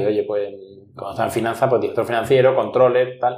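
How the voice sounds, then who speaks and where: This man's pitch sits in the medium range, and his intonation stays fairly even. He talks at a very fast pace. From Andalusia, Spain (Ronda, Málaga). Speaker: headhunter, entrepreneur. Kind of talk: interview.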